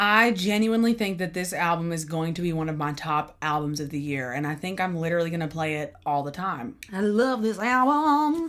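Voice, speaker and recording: A woman talks at a fairly quick pace with a fairly low pitch and hardly any pauses. Her tone is animated and her intonation lively. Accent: Southern US. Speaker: music reaction youtuber, singer-songwriter. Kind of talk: album reaction.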